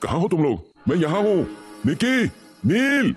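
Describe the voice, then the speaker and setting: In a put-on character voice, a man speaks at a high pitch and a moderate pace. His pitch swings very widely. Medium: audio drama. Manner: fearful.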